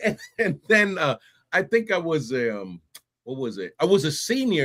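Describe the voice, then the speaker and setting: A man's animated voice with a New York accent and very wide pitch swings. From New York City (Bronx and Brooklyn). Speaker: Army veteran and podcast host. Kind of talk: interview conversation. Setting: live stream.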